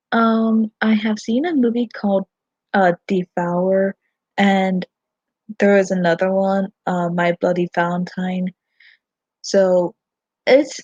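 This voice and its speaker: Close, dry and free of echo, the recording has a woman speaking at a fairly slow pace in a somewhat breathy medium pitch with fairly even intonation. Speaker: fan vlogger. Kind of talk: livestream chat. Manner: halting, many fillers.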